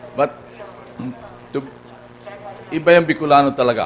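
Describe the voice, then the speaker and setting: The speech runs at a fairly quick pace with fairly even intonation. Noticeable background noise is present. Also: man. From Philippines, Bicol region (Naga). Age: 80s+. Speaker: award honoree speaker. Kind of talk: speech at awards ceremony. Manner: halting, many restarts.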